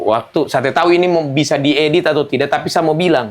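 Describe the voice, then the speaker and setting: With music in the background, a man speaks at a fairly quick pace in an animated tone. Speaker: stand-up comedian. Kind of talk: interview. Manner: loud.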